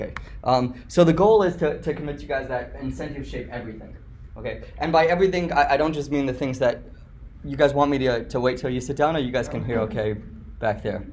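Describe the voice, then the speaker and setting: Very fast speech with ordinary pitch variation and audible room echo. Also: man, fairly high pitch for a man. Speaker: guest lecturer. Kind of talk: lecture. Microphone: slightly echoey.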